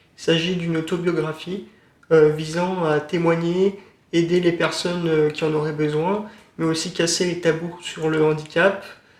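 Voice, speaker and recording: Monotone, flat intonation at a fairly slow pace, with audible room echo. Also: man, high pitch for a man. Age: 20s. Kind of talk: interview. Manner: halting, many hesitations.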